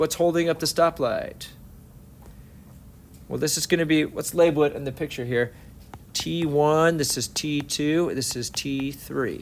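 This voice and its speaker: A man with a plain, everyday voice speaks at a fairly high pitch and a fairly slow pace, with ordinary pitch variation. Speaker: physics teacher. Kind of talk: lecture.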